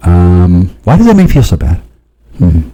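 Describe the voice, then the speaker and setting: His intonation moves in a lively way. The man's pitch is very deep and low. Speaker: video monologist. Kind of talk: rambling monologue. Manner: halting.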